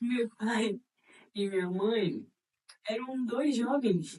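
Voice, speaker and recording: Dark, mellow tone from a woman, her pitch varying in an ordinary way. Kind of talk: casual talk to camera. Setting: poor audio recording.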